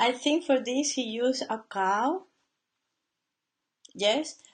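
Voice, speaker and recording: Here a woman speaks with a non-native accent at a high pitch. Her pace is fairly slow and her pitch varies in an ordinary way. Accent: noticeable foreign. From Latin America. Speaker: painter. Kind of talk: casual live stream talk. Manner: halting.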